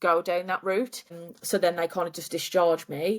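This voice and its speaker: In an English accent, a woman talks at a fairly low pitch. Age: 20s. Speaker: endometriosis advocate and event founder. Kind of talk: interview testimony.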